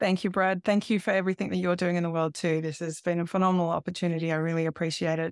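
In a very clean recording with a silent background, a woman with an Australian accent speaks very fast in a fairly low pitch with monotone, flat intonation. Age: 40s. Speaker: life coach. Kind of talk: interview.

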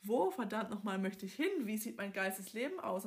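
With a slight Swabian accent, a woman speaks at a moderate pace in a fairly high, somewhat breathy voice. Her tone is animated and her intonation lively. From southern Germany, Swabia. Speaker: podcast host, life coach. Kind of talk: casual monologue.

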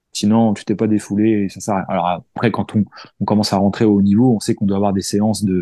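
A man's fairly low-pitched voice with a dark, mellow tone at a fairly quick pace, dry and close with no echo, over a quiet background. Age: 40s. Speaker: firefighter and ultra-distance cyclist. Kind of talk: casual interview. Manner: hesitant, many fillers.

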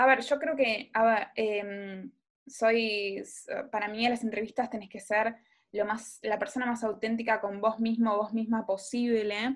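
In a very clean recording with a silent background, a woman speaks in a normal speaking voice at a fairly high pitch. Her pace is fairly slow and her intonation fairly even. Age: 20s. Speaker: podcast co-host. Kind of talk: casual chat.

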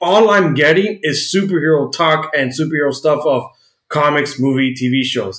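Speaking at a moderate pace with an American accent, this man has an unremarkable speaking voice and a fairly high pitch. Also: ordinary pitch variation. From United States. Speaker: podcast co-host. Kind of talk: casual chat.

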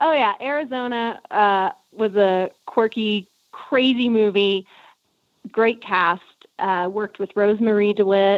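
A woman with an American accent, fairly high in pitch, at a fairly slow pace, an ordinary speaking voice with ordinary pitch variation. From South Texas. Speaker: actress. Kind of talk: interview.

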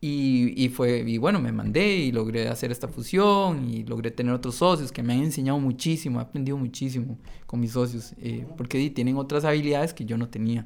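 In a normal speaking voice, a man talks fairly quickly at a medium pitch with ordinary pitch variation and hardly any pauses. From Costa Rica, San Carlos. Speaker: entrepreneur. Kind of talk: interview.

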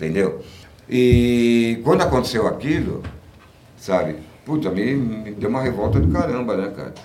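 Over noticeable background noise and audible room echo, a man speaks at a medium pitch with lively intonation. His pace is fairly slow, with long, frequent pauses. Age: 60s. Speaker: punk musician. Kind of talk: casual interview.

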